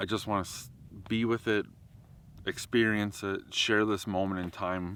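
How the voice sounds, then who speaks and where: A man talks at a moderate pace. His fairly low voice keeps a fairly even intonation. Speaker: wildlife photographer and vlogger. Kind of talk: outdoor vlog monologue. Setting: outdoors in a national park. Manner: loud.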